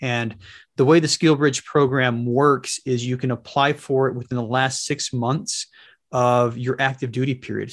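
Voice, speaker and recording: The voice is monotone and flat at a moderate pace. The background is quiet. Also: man. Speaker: retired Marine officer and real estate investor. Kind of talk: interview. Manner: repeats words, slightly halting.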